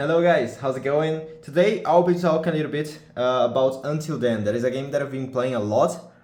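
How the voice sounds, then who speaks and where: In a Portuguese accent, a man speaks at a fairly high pitch with ordinary pitch variation. His pace is moderate, and room echo is audible. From Brazil. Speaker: gaming streamer. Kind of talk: casual vlog talk. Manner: halting, self-correcting.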